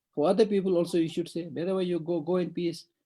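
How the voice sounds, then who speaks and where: A man with a Tibetan accent talks at a fairly quick pace. His tone is dark and mellow, with fairly high pitch. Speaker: Buddhist monk teacher. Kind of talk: dharma teaching.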